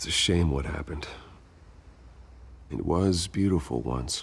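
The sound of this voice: In a put-on character voice, a man speaks slowly at an extremely low pitch with vocal fry and ordinary pitch variation.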